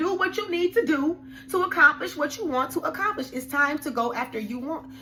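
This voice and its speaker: An animated, raised and projected voice moves at a fairly quick pace with very wide pitch swings. Noticeable background noise sits behind it. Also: woman. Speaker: tarot card reader. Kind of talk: tarot reading. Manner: fast.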